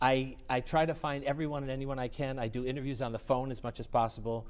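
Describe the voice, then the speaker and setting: At a fairly quick pace, a man talks at a medium pitch in a plain, everyday voice. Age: 60s. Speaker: music network organizer and piano technician. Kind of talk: interview.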